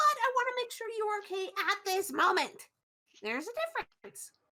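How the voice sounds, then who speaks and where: A woman's put-on character voice, bubbly and squeaky, at an extremely high pitch and fairly quick pace, with big swings in loudness. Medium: actual play. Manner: bubbly, rambling.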